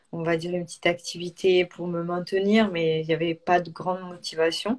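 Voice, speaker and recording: This woman has a fairly low pitch and a monotone, flat intonation. Her pace is moderate. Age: 30s. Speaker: crossfit coach. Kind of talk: live stream interview. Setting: live online broadcast. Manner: hesitant, many fillers.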